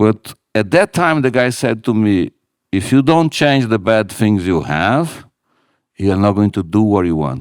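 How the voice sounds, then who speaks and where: In a very clean recording with a silent background and a dry, close sound with no echo, a man with a non-native accent swings his pitch very widely. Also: fairly slow pace. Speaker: retail company CEO. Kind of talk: live on-stage interview. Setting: stage with audience.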